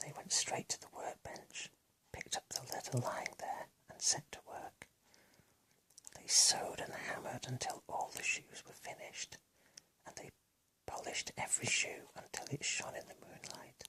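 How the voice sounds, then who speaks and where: A man is whispering. His pace is moderate. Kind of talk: ASMR bedtime story reading. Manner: whispered, soft.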